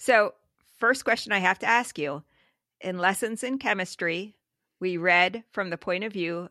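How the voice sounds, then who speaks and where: Against a quiet background, a woman with a bright, sharp tone and medium pitch speaks fairly slowly with long, frequent pauses and ordinary pitch variation, and the sound is dry and close with no echo. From US Midwest, small town. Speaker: book podcast co-host and playwright. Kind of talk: casual chat.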